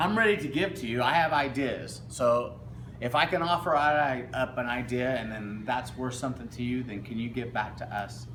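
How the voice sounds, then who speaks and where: A man's voice with audible room echo. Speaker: student vlogger. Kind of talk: casual vlog appeal. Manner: halting.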